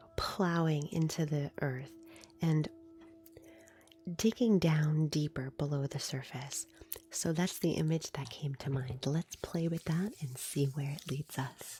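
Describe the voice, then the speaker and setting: The speaking pace is fairly slow. Music plays in the background. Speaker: reiki practitioner and live streamer. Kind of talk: live-stream reiki session, casual talk to viewers.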